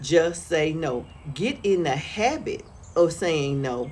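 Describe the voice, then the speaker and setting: A woman's voice comes with audible room echo. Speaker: lifestyle vlogger. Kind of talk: casual monologue vlog. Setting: outdoors on front porch.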